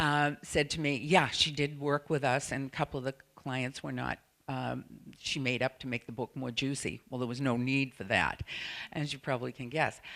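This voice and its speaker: With a Boston accent, a woman speaks at a moderate pace in a very deep, low pitch with vocal fry and fairly even intonation, recorded very cleanly over a silent background. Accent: Boston-area accent, noticeable. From New England, Salem, Massachusetts. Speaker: sex therapist and surrogate partner. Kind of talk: conference presentation.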